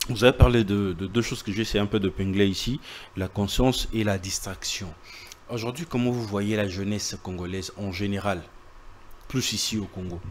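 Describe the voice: A man's fairly low voice at a moderate pace, with fairly even intonation.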